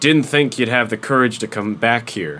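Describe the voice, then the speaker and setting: A man puts on a character voice at a medium pitch. His pace is moderate. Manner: gruff, commanding.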